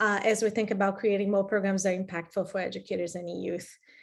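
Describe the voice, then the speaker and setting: This woman talks very fast with a Brazilian accent. Her intonation stays fairly even. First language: Portuguese. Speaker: program director. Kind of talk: webinar presentation.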